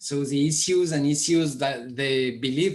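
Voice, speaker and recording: A man with a French accent speaks at a very slow pace in a fairly high pitch, his intonation fairly even. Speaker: media project presenter. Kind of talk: online conference presentation. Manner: halting.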